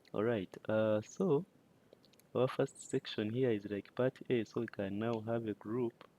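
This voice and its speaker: A man's dark, mellow voice with a non-native accent, fairly even in intonation, in a dry, close sound with no echo. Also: medium pitch for a man. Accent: non-native English accent, self-noted. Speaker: data collection instructor. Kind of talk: tutorial. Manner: halting, many fillers.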